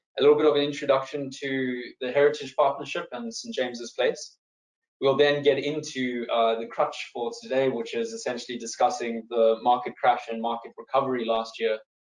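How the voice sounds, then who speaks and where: Speaking with a South African accent, a man keeps a medium pitch, a moderate pace and ordinary pitch variation. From South Africa, East London. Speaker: wealth manager. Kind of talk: webinar presentation.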